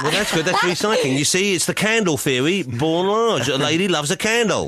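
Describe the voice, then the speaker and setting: A man with a high voice talks fairly quickly in a playful tone, his intonation lively and his loudness very even. Noticeable background noise runs underneath. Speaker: radio presenter. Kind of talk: radio show hosting. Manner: jokey, playful.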